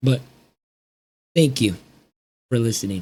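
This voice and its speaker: A dark, mellow tone, somewhat breathy. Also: man. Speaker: small YouTuber. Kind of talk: personal vlog rant. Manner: halting.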